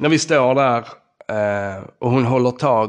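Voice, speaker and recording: A man at medium pitch with fairly even intonation against a quiet background. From southern Sweden, Skåne (Ystad). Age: 40s. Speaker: podcast host. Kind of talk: personal storytelling monologue.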